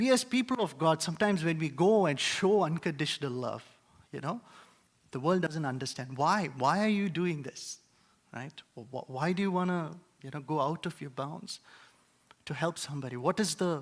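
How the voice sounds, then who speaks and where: Using an Indian accent, a man with a fairly high pitch and lively intonation talks at a moderate pace, with big swings in loudness, long, frequent pauses, and a very clean recording over a silent background. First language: Indian language. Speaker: preacher. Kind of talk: sermon. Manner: hesitant, many filler words.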